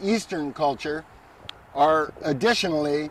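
A man's voice with ordinary pitch variation, a dry sound with no echo and light background noise. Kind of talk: guided tour explanation. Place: garden. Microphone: handheld.

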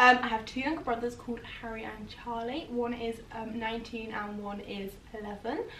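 A woman's fairly high voice in an English accent, at a moderate pace with fairly even intonation, big swings in loudness, audible room echo and light background noise. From England. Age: 20s. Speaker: YouTuber. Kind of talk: casual chat. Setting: at home on sofa. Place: home room. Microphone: camera far.

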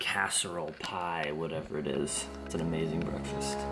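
Noticeable background noise surrounds a man speaking with fairly even intonation. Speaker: vlogger. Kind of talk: casual vlog chat. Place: home room. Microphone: phone near.

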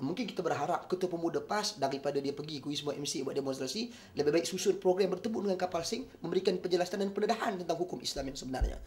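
Very fast and animated, a man speaks in a high voice with lively intonation. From Malaysia. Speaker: Islamic preacher and youth political figure; Islamic preacher. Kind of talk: press conference statement. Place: office. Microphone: handheld.

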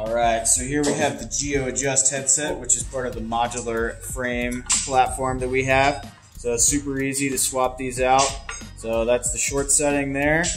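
A man at a moderate pace, flat and monotone, with clear music in the background. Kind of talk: product demonstration. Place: factory.

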